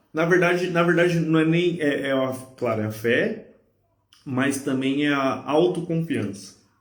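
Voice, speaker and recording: Audible room echo surrounds a man's fairly high-pitched voice. He speaks at a fairly slow pace with ordinary pitch variation. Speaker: podcast host. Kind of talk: casual chat. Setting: live stream.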